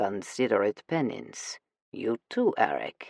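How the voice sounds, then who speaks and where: A man puts on a character voice at a fairly slow pace. The sound is dry and close, with no echo. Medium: read story. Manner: gruff, curt.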